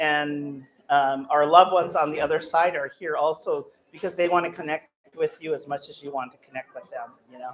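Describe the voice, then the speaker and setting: At a fairly quick pace, a woman speaks in a very deep, low pitch. Her loudness swings widely while her intonation stays fairly even. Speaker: psychic medium. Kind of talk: live demonstration to an audience. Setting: room with live audience. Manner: halting, many fillers.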